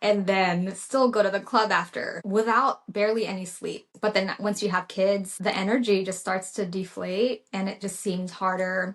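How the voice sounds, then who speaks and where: Medium in pitch, a woman speaks at a moderate pace with hardly any pauses. Her intonation is monotone and flat. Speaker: registered nurse. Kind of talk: casual podcast conversation.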